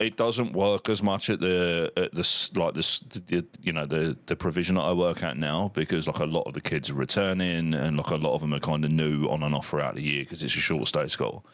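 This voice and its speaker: A man with an English accent speaks at a fairly quick pace with hardly any pauses, using a very deep, low pitch and ordinary pitch variation. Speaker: podcast host and teacher. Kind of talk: casual chat. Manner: loud.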